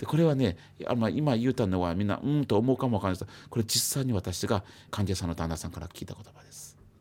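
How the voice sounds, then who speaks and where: Words come at a very fast pace with lively intonation. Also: man, fairly low pitch for a man. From China. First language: Chinese (speaking Japanese). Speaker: psychiatrist. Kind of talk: radio interview.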